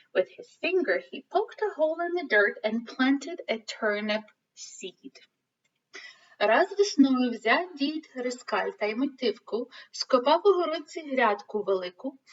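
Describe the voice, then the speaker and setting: A woman with a Ukrainian accent speaks fairly slowly in a high voice, with very wide pitch swings. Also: big swings in loudness. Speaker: elementary school teacher. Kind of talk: reading aloud. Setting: recorded video for school event.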